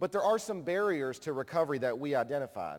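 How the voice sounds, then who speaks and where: With a slight Kentucky accent, the speaker rushes along at a very fast pace, using lively intonation. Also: man. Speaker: conference speaker, nonprofit director. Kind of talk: conference plenary talk. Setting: stage with audience.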